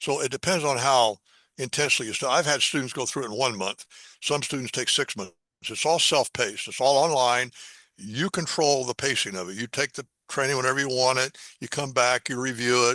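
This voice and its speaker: With a Midwestern American accent, a man speaks fairly quickly at a medium pitch in a dry, close sound with no echo. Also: ordinary pitch variation. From US Midwest, Indiana. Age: 80s+. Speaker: math educator. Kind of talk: interview.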